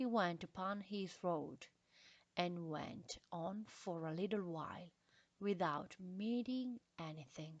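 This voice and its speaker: Speaking at a very slow pace, a woman with a non-native accent keeps a medium pitch and ordinary pitch variation. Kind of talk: classic short story reading.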